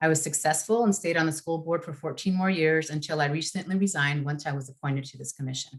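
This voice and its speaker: Speaking very fast with a Spanish accent, a woman uses a very deep, low pitch and fairly even intonation. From northern California, Yolo County. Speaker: redistricting commissioner. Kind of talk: prepared introductory remarks in a webinar.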